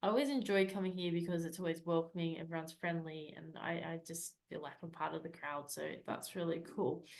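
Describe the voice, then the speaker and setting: Speaking at a fairly quick pace with hardly any pauses, a woman with an Australian accent has a fairly low pitch and fairly even intonation. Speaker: Toastmasters club member acting as meeting leader. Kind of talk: meeting facilitation and closing remarks. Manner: fast.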